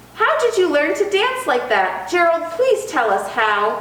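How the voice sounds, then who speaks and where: A squeaky, put-on character voice swings very widely in pitch at a moderate pace, with clear echo. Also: woman, extremely high pitch for a woman. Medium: read story.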